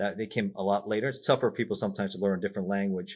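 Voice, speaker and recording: The man's voice is fairly low in pitch. He speaks at a very fast pace. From Miami, Florida. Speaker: retired undercover federal agent and author. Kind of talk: podcast interview. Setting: remote video interview. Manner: many fillers and repetitions.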